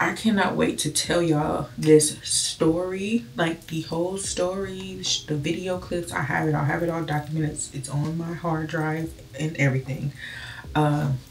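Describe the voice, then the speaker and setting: A woman speaks at a moderate pace with a very deep, low pitch and fairly even intonation. Light background noise sits behind her. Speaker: vlogger. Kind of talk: casual vlog chat. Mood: earnest, personal, reflective. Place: bathroom. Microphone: phone near.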